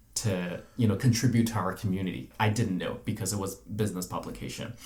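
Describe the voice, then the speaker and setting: A man with a fairly low pitch speaks in a somewhat breathy voice with fairly even intonation. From mainland China, big city. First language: Chinese. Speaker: journalist. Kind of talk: casual interview. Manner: hesitant with frequent fillers.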